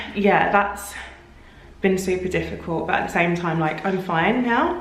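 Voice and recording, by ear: The speaker keeps a moderate pace with fairly even intonation. There is audible room echo. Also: woman.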